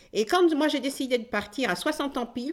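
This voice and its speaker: On a very clean recording with a silent background, a woman's voice comes through. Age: 60s. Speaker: retired nurse and amateur actress. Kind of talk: personal testimony interview. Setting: at home. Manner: animated, energetic; distinctive way of speaking and laughing.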